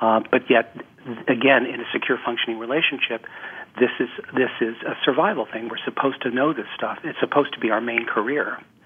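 Over noticeable background noise, a man speaks at a fairly quick pace and medium pitch with fairly even intonation. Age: 60s. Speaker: couples therapist. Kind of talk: interview. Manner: halting.

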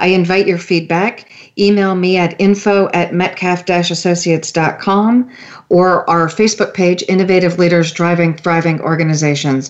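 A woman with an ordinary speaking voice talks at a moderate pace in a fairly low pitch, her intonation fairly even and her loudness very even. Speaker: radio host. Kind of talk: radio interview, host questioning guest.

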